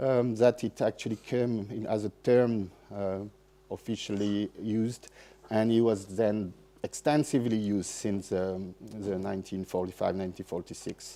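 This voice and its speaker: A man speaks with a French accent at a moderate pace. His voice is fairly low in pitch, with a dark, mellow tone. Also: fairly even intonation. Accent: French accent, apologizes for English. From France. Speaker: festival seminar speaker on soil and ecology. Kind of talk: lecture. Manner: halting, many fillers and restarts.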